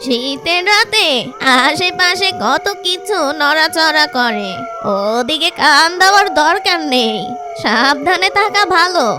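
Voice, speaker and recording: Over loud music, a female-sounding cartoonish character voice squeaks at an extremely high pitch and a fairly slow pace. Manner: warm, cautionary.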